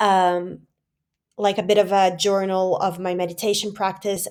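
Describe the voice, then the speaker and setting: A woman with a Portuguese accent, medium in pitch, monotone and flat, at a fairly slow pace, on a very clean recording with a silent background. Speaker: vlogger. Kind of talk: personal vlog. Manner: casual, many fillers.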